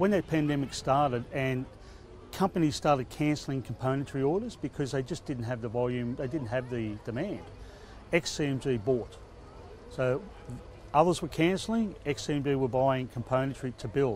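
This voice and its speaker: Over light background noise, a man speaks at a moderate pace with long, frequent pauses in a dry sound with no echo. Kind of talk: interview answer. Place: open country.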